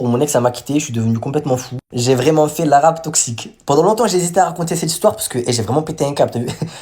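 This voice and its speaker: A man talks at a very fast pace with hardly any pauses, in a fairly high pitch. His tone is animated, with ordinary pitch variation. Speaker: storyteller vlogger. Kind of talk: casual storytime.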